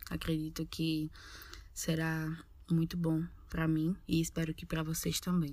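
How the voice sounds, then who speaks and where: This woman's voice sits fairly low in pitch. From Northeast Brazil. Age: 20s. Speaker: podcast co-host, university student. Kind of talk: casual podcast intro.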